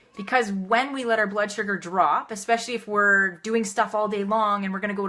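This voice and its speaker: Energetic and bright, with a sharp tone, a woman rattles along at a very fast pace in a fairly high pitch. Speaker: health and wellness coach. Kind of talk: live video tips talk.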